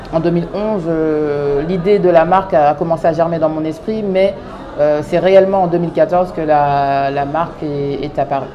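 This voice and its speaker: A woman with a fairly low pitch talks at a moderate pace over noticeable background noise, with audible room echo. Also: fairly even intonation. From France, Paris suburbs (Clichy-sous-Bois). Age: 30s. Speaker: fashion designer, brand founder. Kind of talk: interview monologue. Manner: hesitant, many fillers.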